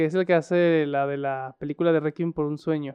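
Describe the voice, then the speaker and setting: A man with a normal speaking voice, fairly high pitch and a moderate pace. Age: 30s. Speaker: podcast co-host. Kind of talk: casual chat.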